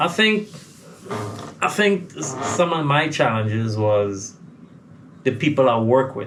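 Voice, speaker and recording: Noticeable background noise and audible room echo surround a man speaking at a medium pitch with very wide pitch swings. He goes at a fairly slow pace, with long, frequent pauses. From Trinidad and Tobago. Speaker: soca recording artist. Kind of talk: interview.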